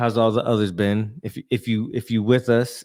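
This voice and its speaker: A man speaks at a moderate pace in a medium pitch, his intonation flat and monotone. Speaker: podcast co-host. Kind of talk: casual chat.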